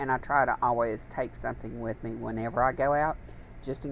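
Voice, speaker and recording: At a moderate pace, a woman speaks with a very deep, low pitch, vocal fry and monotone, flat intonation. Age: 60s. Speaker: YouTube crafting vlogger. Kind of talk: casual chat.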